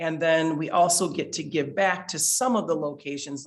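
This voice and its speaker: The speaker is a man with a fairly high pitch. He talks at a fairly slow pace. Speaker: beekeeper, nonprofit co-founder giving a talk. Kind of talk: public presentation. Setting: library talk with live audience and online viewers. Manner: loud.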